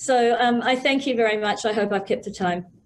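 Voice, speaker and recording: A woman speaks at a high pitch with ordinary pitch variation and a moderate pace. Room echo is audible. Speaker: conference panelist. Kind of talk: conference presentation.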